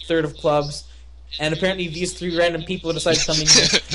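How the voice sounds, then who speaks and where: A high-pitched man with fairly even intonation, amid noticeable background noise and audible room echo. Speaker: podcast co-host. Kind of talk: casual chat. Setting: live stream with online call. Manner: loud.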